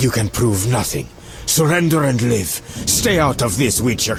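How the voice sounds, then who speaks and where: Over clear background noise, a man performs a put-on character voice. His intonation is lively and his pace moderate. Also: medium pitch for a man, very even loudness. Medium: video game. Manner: haughty, contemptuous.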